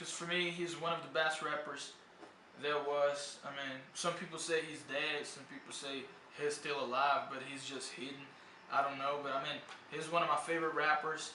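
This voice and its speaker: A man with a fairly high pitch speaks in a monotone, flat intonation with big swings in loudness, against audible room echo and noticeable background noise. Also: moderate pace. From Brazil. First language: Portuguese. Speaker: English tutor. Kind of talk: casual video talk. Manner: casual, hesitant with fillers.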